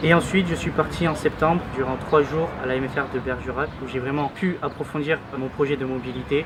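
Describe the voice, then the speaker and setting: Amid noticeable background noise, a man with a fairly high voice talks fairly quickly with hardly any pauses. His intonation stays fairly even. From southwest France (Agen, Lot-et-Garonne). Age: young. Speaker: intern. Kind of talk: testimony.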